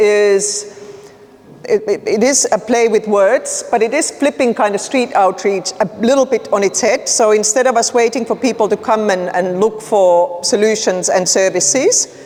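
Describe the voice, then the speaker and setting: A woman speaks with very even loudness and ordinary pitch variation. Noticeable background noise sits behind her. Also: fairly high pitch for a woman. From Finland. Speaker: nonprofit leader working on homelessness. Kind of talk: conference presentation. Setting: conference room with audience. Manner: casual, conversational.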